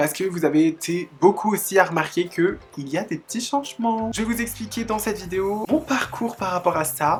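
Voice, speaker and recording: A woman with a plain, everyday voice, medium in pitch, lively in intonation, at a moderate pace. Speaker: YouTuber. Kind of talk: casual talk to camera. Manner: upbeat, chatty.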